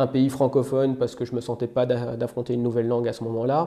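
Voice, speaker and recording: A man speaks at a fairly quick pace with a slight Belgian accent. His intonation is monotone and flat. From Belgium. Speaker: software engineer. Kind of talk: casual interview. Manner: hesitant, many fillers.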